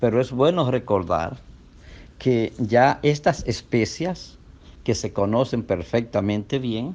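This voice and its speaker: This man speaks at a very slow pace with lively intonation. His pitch is medium. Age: 60s. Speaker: doctor. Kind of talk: health talk.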